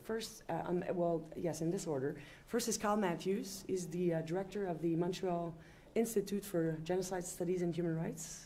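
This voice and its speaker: Heard with audible room echo, a woman with a French accent speaks at a fairly low pitch in a dark, mellow tone, with ordinary pitch variation. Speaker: panel chair, law professor. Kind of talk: panel introduction. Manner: halting, many fillers.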